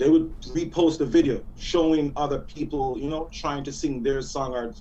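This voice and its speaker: Moderate speed from a male speaker amid noticeable background noise. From Jamaica. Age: 40s. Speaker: music artist. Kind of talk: radio interview.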